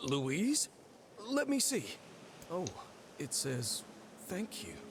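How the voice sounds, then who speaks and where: Over clear background noise, a man in a put-on character voice speaks very slowly at a high pitch, with very wide pitch swings. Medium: video game. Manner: blunt, swears freely.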